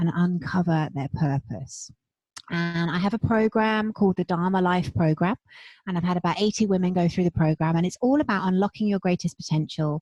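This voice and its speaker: With a British accent, a woman speaks at medium pitch and a moderate pace, somewhat breathy and with lively intonation, the sound dry and close with no echo over a quiet background. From England. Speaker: spiritual business coach. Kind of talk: casual interview.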